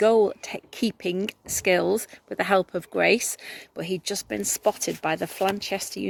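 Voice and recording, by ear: The voice reads aloud in a natural way.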